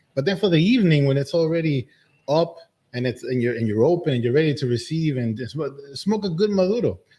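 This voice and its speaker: A man with a somewhat breathy, fairly high voice talks very fast, his intonation lively. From Dominican Republic. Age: 50s. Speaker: medical doctor, cigar maker. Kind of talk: casual chat.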